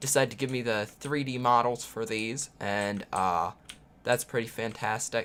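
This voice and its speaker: Someone speaks in a Southern US accent at a fairly slow pace. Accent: overly southern. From US Midwest, Illinois. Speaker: indie game developer and streamer. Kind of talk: live stream chat.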